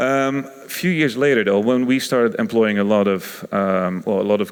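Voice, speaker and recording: A man's medium-pitched voice with a Dutch accent and ordinary pitch variation. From Netherlands (Rotterdam). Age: 30s. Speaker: innovation consultant. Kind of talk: conference talk. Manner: hesitant, many fillers.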